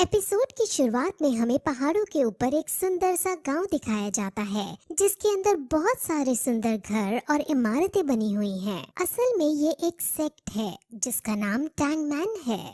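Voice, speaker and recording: A cartoonish character voice with very wide pitch swings goes at a moderate pace in a dry, close sound with no echo. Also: woman, high pitch for a woman. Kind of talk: anime episode recap narration. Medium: read story. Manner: explanatory, steady.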